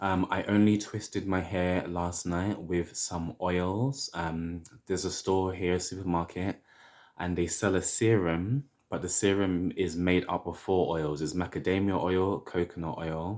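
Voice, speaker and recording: A man's very deep, low voice in a London accent, fairly even intonation and a fairly slow pace, on a very clean recording with a silent background. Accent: British (London). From London, England. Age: 30s. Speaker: hair vlogger. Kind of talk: casual vlog tutorial.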